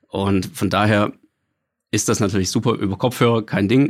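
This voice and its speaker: Using an unremarkable speaking voice, a man talks at a fairly slow pace with a fairly low pitch. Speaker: home cinema consultant. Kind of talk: casual interview.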